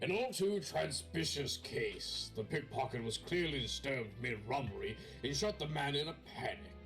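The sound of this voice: A man puts on a raspy character voice at a moderate pace. Clear music plays in the background.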